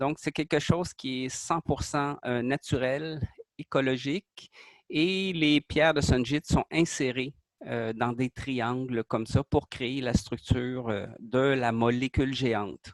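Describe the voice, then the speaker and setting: Ordinary pitch variation colors a man's medium-pitched voice as he speaks at a very slow pace. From Quebec. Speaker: artist presenting his creation. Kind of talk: interview explanation. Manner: hesitant, many fillers.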